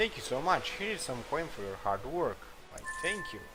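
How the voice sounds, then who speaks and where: Music plays behind a man speaking with lively intonation. There is audible room echo. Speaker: gaming video creator. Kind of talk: gameplay commentary. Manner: halting, many fillers.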